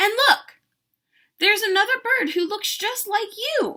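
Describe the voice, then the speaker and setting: A woman's squeaky, put-on character voice at an extremely high pitch, with a moderate pace. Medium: read story. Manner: friendly, gentle.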